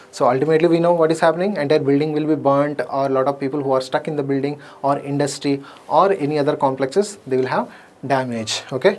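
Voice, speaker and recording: Very fast speech comes from a man with a fairly high pitch and ordinary pitch variation. Noticeable background noise runs underneath. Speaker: exam coaching teacher. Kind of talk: lecture.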